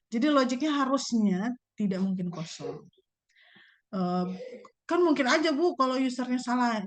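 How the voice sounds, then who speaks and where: With very wide pitch swings and long, frequent pauses, a woman speaks in a high voice over audible room echo. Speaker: university lecturer. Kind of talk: lecture. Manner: fast; casual.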